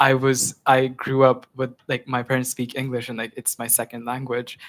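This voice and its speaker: A man speaks in an Indian accent, with a dry, close sound and no echo. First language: Hindi. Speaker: student, campus tour guide. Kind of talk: student government meeting discussion.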